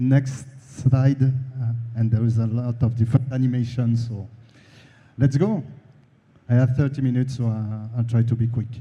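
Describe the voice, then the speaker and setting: A somewhat breathy man with a strong French accent, dark, mellow tone, fairly even intonation and fairly slow pace, amid audible room echo. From France. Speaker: conference speaker on the video game industry. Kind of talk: conference presentation. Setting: stage with audience. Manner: halting, many fillers.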